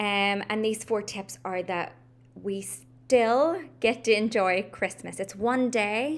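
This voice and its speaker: Medium pitch from a woman speaking with an American accent. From Northern Ireland, Belfast. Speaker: life coach. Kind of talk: casual vlog talk to camera. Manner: casual, frequent ums.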